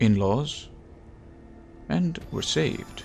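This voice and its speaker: Music in the background behind a man's fairly low voice, very slow in pace, with lively intonation. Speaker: gaming YouTuber. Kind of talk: casual gameplay commentary.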